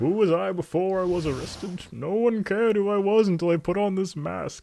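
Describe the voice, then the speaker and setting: A man puts on a character voice, pitched high. His pitch varies an ordinary amount, and he talks at a fairly quick pace. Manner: menacing, theatrical.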